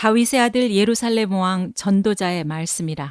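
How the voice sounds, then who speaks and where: A woman speaks at a very slow pace. The sound is dry and close with no echo, on a very clean recording with a silent background. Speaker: announcer. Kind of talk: Bible reading. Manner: slow, measured.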